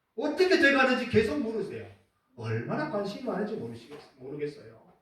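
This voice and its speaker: A man's voice with audible room echo. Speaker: pastor. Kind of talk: sermon. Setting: church.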